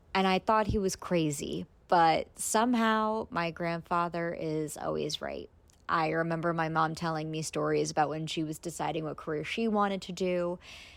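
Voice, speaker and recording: A woman with an American accent speaks at a moderate pace in a plain, everyday voice. Her pitch is fairly low with ordinary variation, and the recording is very clean with a silent background. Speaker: podcast host, travel blogger. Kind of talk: personal monologue podcast.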